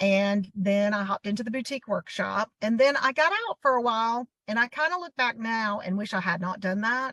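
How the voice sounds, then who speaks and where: In a Southern US accent, the voice has a bright, sharp tone and ordinary pitch variation, moving at a fairly quick pace with a dry, close sound and no echo. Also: woman, fairly high pitch for a woman. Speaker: boutique owner. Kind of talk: interview.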